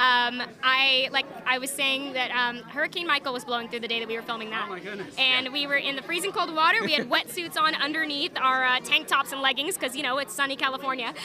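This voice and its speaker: Raising and projecting her high-pitched voice, a woman talks very fast with ordinary pitch variation through noticeable background noise. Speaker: actor. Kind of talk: casual interview.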